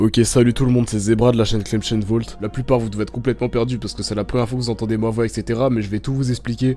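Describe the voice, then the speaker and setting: A man speaks at a very fast pace in a medium pitch, his intonation monotone and flat, with music playing in the background. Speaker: YouTube channel owner. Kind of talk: casual monologue to viewers.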